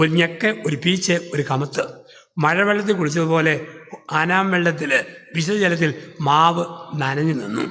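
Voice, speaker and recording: There is noticeable background noise behind a man whose voice sits at a high pitch. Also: ordinary pitch variation. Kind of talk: sermon.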